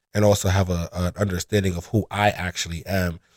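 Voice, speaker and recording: Fairly quick and monotone, a man speaks with flat intonation at a very deep, low pitch. The sound is dry and close with no echo, on a very clean recording with a silent background. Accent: Brooklyn. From New York City, Brooklyn (East New York). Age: 20s. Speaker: inventory control specialist. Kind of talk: casual interview.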